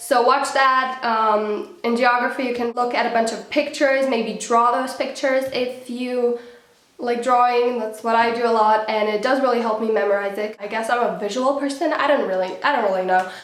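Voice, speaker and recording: A woman with a non-native accent and a high pitch, at a moderate pace with fairly even intonation, amid noticeable background noise and audible room echo. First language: not English. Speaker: student vlogger. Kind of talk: casual tutorial vlog.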